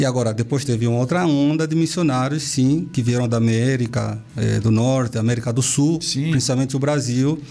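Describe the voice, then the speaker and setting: There is noticeable background noise behind a man. He talks at a moderate pace and medium pitch with fairly even intonation. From Angola, Benguela. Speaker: missionary. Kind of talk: interview.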